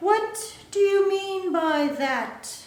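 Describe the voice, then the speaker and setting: A woman's put-on character voice at an extremely high pitch, with slight echo. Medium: read story. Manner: languid, sleepy; curt, aloof.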